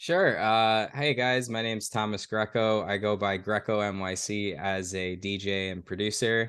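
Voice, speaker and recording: In an American accent, a man with a plain, everyday voice talks at a moderate pace in a fairly low pitch with hardly any pauses. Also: fairly even intonation. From New York. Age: 30s. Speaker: DJ and festival organizer. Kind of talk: podcast interview.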